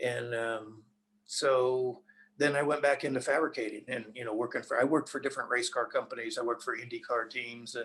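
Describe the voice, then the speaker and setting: With an American accent, a man speaks fairly quickly at a medium pitch in monotone, flat intonation. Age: 70s. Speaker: race car driver. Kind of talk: interview. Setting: podcast.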